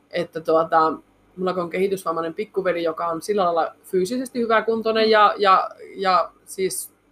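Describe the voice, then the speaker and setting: Pitch varies in an ordinary way, with speech at a moderate pace. It is an ordinary speaking voice. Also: woman. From Finnish Lapland, Muonio. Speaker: reindeer meat processing entrepreneur. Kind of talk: interview.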